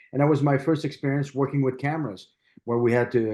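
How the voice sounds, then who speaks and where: A man's very fast speech in a French Canadian accent, with fairly even intonation. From Quebec, Canada (Montreal). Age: 60s. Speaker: martial artist and stunt performer. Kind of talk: interview. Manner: halting.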